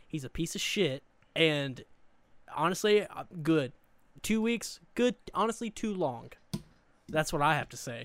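A man with a Southern US accent speaks at a fairly slow pace, fairly high in pitch with lively intonation. Long, frequent pauses break up his speech on a very clean recording with a silent background. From US South, Eastern Arkansas. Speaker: podcast co-host. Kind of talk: casual chat.

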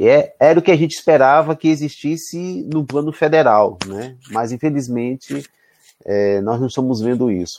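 A man with a normal speaking voice, fairly high pitch, lively intonation and moderate pace against a quiet background. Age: 40s. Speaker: university professor. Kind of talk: interview.

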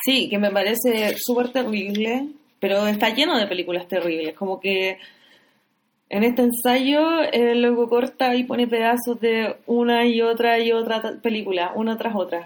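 A woman with a Chilean accent speaks at a fairly slow pace, her fairly high voice showing ordinary pitch variation. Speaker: podcast host. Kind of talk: casual chat about films.

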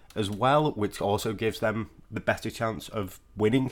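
With a British accent, a man talks at a moderate pace in a medium-pitched voice. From Britain. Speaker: NFL podcaster. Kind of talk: solo sports predictions podcast. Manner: casual, conversational.

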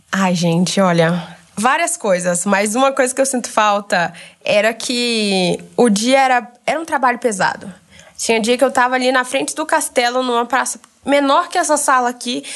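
A woman speaks in a high voice with lively, bouncing intonation. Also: moderate pace, quiet background. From Brazil, Goiânia. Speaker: former Disney exchange worker. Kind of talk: casual chat.

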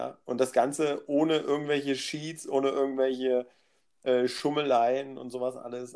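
A man's medium-pitched voice at a moderate pace. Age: 30s. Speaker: podcast guest. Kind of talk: casual chat.

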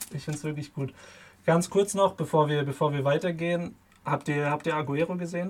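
Using an ordinary speaking voice, a man talks at a fairly quick pace with a fairly high pitch and fairly even intonation. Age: 20s. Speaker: student podcast co-host. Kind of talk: casual sports chat. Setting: video call.

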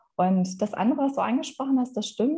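A somewhat breathy woman's voice, dark and mellow in tone, with ordinary pitch variation. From Germany, Ruhr area (Essen). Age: 40s. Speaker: youth education program director. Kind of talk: interview.

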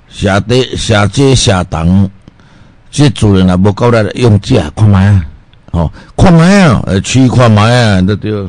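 Speaking at a fairly slow pace, a man uses a fairly low pitch and ordinary pitch variation. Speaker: radio health show host, doctor selling health products. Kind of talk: radio health talk with sales pitch. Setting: radio studio. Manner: animated; rambling, filler-heavy.

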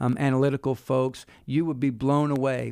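Heard in a very clean recording with a silent background, a man uses a normal speaking voice at a medium pitch and a moderate pace. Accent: American. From US South, Wilmington, North Carolina. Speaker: university president. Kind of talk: interview. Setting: studio.

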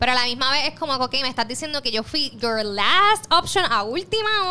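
Loud and projected, a woman talks at a fairly quick pace in a high, animated voice with very wide pitch swings. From Puerto Rico, west. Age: 20s. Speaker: journalist and influencer. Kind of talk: casual interview.

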